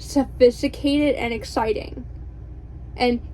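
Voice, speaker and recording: This woman talks fairly slowly. Background noise is noticeable throughout. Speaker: book vlogger. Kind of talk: casual vlog chat. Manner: bubbly; animated.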